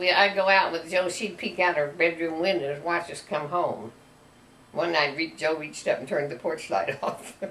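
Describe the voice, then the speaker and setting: Speaking in a rural Missouri accent, a woman talks at a moderate pace with a fairly low pitch. Noticeable background noise runs behind her. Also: ordinary pitch variation. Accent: Midwestern American, rural Missouri. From US Midwest, rural northwest Missouri. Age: 80s+. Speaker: grandmother telling her life story. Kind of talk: casual family interview.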